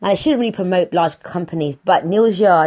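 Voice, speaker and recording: Here a woman speaks with a British accent. Her pitch variation is ordinary. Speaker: podcast host. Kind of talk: casual monologue.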